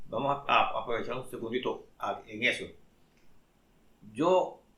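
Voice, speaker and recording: A man at a fairly high pitch, with fairly even intonation and audible room echo. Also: long, frequent pauses. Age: 70s. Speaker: pastor. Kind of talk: religious talk.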